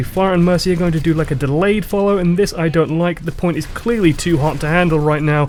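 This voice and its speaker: Talking at a very fast pace, a man with a British accent has a fairly high pitch and fairly even intonation. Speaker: gaming commentator. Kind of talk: game analysis commentary.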